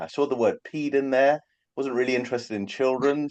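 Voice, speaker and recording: A man at a fairly quick pace, dry, close sound with no echo, quiet background. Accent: London. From England, London. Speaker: hand surgeon. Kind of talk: casual interview chat.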